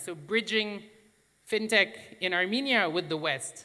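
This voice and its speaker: A man speaks in a raised, projected voice with a bright, sharp tone, high pitch and ordinary pitch variation. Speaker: fintech association director. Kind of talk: conference presentation.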